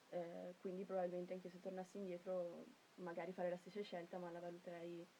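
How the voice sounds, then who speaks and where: At a fairly quick pace, a woman talks in a fairly low, monotone voice with flat intonation. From Trentino, Italy (Cavalese). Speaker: university student. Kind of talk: interview. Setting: radio studio.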